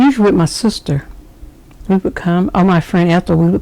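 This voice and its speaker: Speaking with a Southern US accent, a woman has a fairly low pitch and ordinary pitch variation. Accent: Southern US (Georgia). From US South, Rome, Georgia. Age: 60s. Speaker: interviewee, grandmother. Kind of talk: oral history interview.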